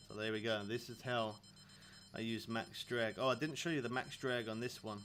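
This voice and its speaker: At a moderate pace, a man with a British accent talks at medium pitch with fairly even intonation. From England. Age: 30s. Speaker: video game streamer. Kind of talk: live stream chat. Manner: casual.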